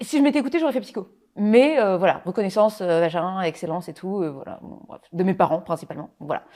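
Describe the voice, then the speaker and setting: Speaking very fast at a medium pitch, a woman with a dark, mellow tone makes very wide pitch swings and big swings in loudness. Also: very clean recording, silent background. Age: young. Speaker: copywriter and trainer. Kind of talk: casual interview. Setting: studio.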